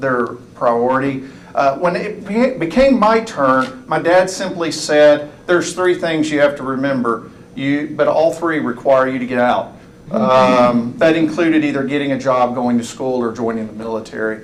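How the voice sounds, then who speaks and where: Recorded with audible room echo and noticeable background noise, a man speaks at a moderate pace with an East Texas accent. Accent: East Texas Southern US. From East Texas, US. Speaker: college presidential candidate. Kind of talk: public forum talk. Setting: room with audience, microphone.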